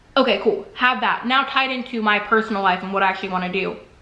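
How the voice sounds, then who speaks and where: An animated tone with ordinary pitch variation carries through audible room echo. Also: woman. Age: 20s. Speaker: vlogger. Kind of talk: personal vlog monologue. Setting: bathroom. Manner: fast.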